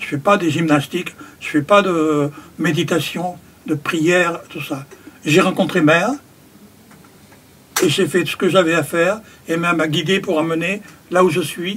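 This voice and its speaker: A man talks at a fairly slow pace with a high pitch. He pauses often and at length. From France, Périgord. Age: 70s. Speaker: carpenter and spiritual community member. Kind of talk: interview. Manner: halting.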